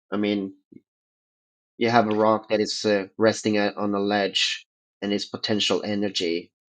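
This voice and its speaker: In a non-native accent, a man speaks at a moderate pace and a fairly low pitch, his intonation monotone and flat. Long, frequent pauses break his speech over a quiet background. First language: not English. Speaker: participant in a religion roundtable. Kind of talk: debate, casual discussion. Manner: halting, many fillers.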